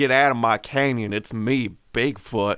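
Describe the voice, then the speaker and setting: Putting on a drawling character voice in a Southern US accent, a man talks at medium pitch and a moderate pace with fairly even intonation. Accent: Southern American. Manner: slow, drawling.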